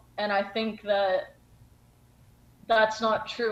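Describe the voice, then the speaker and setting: A woman speaks at a fairly high pitch. Noticeable background noise can be heard behind her. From US South, Charlotte, North Carolina. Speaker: podcast guest, Croatian diaspora returnee. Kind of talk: casual interview conversation. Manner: casual, filler-heavy.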